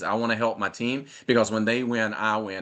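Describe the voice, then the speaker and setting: A man's medium-pitched voice, monotone with flat intonation, at a fairly quick pace. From North Carolina. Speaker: network marketer. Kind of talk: live interview. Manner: fast.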